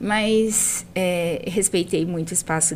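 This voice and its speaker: Using a normal speaking voice, a woman speaks at a fairly slow pace and fairly low pitch with ordinary pitch variation. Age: 40s. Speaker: math teacher. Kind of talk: casual interview chat.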